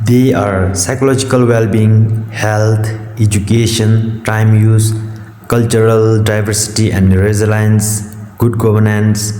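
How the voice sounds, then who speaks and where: Against noticeable background noise, a man with a non-native accent speaks at a fairly slow pace in a fairly low, flat monotone. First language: not English. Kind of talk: educational talk.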